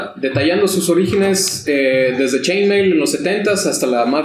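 Noticeable background noise behind a man's moderately paced speech, its pitch varying in an ordinary way. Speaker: tabletop RPG podcast co-host. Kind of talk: casual chat.

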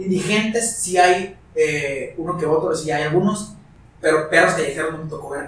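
There is noticeable background noise and an audible room echo around this man's voice. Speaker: music production student and food content creator. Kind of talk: casual chat.

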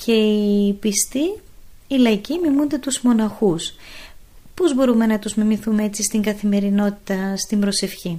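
Speaking at a fairly slow pace, a woman has a fairly high, somewhat breathy voice with a dark, mellow tone. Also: ordinary pitch variation. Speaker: radio host and nun. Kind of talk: interview questions.

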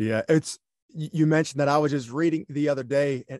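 A fairly high-pitched man with a Southern US accent at a moderate pace, dry and close with no echo against a quiet background. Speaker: podcast host. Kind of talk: interview, podcast host. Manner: upbeat, positive.

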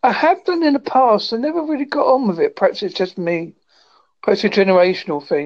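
A woman with a West Country accent, fairly high in pitch, at a fairly quick pace with very wide pitch swings. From England, Devon. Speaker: podcaster. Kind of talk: casual chat.

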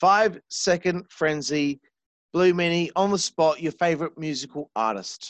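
A man with an Australian accent and a fairly high pitch speaks at a fairly slow pace in an animated tone. The sound is dry and close, with no echo. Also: ordinary pitch variation. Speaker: podcast host. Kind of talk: casual interview chat. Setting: remote call.

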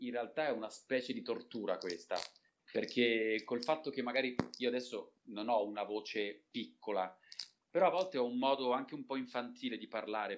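Medium-pitched male speech, fairly quick in pace and ordinary in its pitch variation. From Italy, Turin. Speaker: voice actor. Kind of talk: casual chat.

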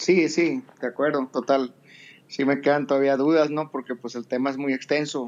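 A man of fairly high pitch with monotone, flat intonation, at a moderate pace. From Mexico, Sonora. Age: 50s. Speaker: entrepreneur, audience participant. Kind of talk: casual chat. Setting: live audio app room.

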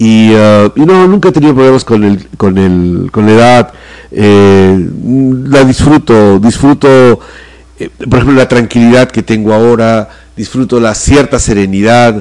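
A man talks in a normal speaking voice at a medium pitch with ordinary pitch variation. His loudness stays very even, and his pace is fairly slow. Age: 50s. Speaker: theatre director. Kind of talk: interview.

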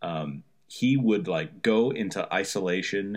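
Over a quiet background, a man with an unremarkable speaking voice talks at a fairly low pitch with ordinary pitch variation. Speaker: guest. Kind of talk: casual chat. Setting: phone call.

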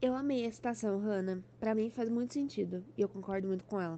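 Medium pitch for a woman, a plain, everyday voice, and pitch that varies in an ordinary way. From São Paulo state interior, Brazil. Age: 20s. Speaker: author. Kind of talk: podcast interview.

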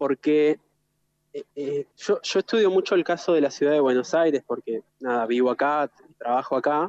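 Using an unremarkable speaking voice, a man with a fairly high pitch speaks at a moderate pace with ordinary pitch variation in a dry, close sound with no echo. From Argentina, Gualeguaychú (Entre Ríos). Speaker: architect. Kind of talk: interview conversation. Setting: remote connection, outdoors in the city.

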